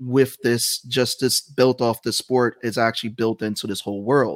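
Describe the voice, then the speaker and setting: In a very clean recording with a silent background and a dry, close sound with no echo, a man with an American accent talks at medium pitch in a flat monotone. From New York, the Bronx. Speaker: comic artist and game creator. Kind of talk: casual interview chat.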